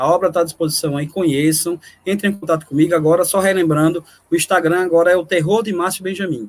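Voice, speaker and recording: A man speaks with a high pitch at a fairly quick pace. His intonation stays fairly even. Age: 40s. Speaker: horror writer. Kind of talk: casual chat.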